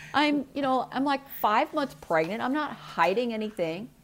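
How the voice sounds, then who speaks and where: Through noticeable background noise, a woman's voice makes very wide pitch swings. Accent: American. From US Midwest, St. Louis area. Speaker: birth mother. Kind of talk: personal testimony.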